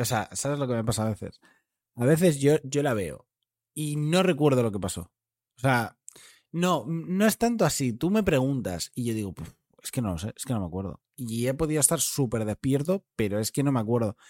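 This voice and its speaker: A man speaks at a moderate pace and medium pitch with very wide pitch swings, his voice dry and close with no echo on a very clean recording over a silent background. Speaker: podcast co-host. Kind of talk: casual chat.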